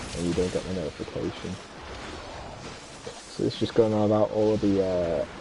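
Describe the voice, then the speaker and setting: A man with a British accent speaks at a fairly low pitch and a moderate pace, with fairly even intonation. Long, frequent pauses break up his speech over noticeable background noise. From UK. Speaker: video game streamer. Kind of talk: casual chat. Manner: casual, with fillers.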